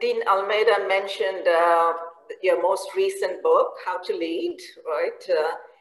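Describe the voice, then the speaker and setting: A woman's voice comes with audible room echo. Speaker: professor and conference moderator. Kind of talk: interview. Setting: video call. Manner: hesitant, many fillers. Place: home room. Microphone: video call.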